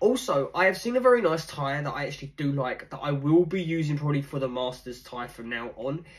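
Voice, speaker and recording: Against a quiet background, a man talks at a fairly quick pace with ordinary pitch variation and a somewhat breathy sound. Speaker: cosplay vlogger. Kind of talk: casual vlog chat. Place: home room. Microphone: phone near.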